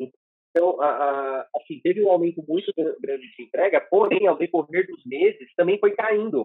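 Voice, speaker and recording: At a moderate pace, the speech has lively intonation and big swings in loudness. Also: man, high pitch for a man. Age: 30s. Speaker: motorcycle delivery courier. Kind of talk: interview testimony. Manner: halting, many repetitions.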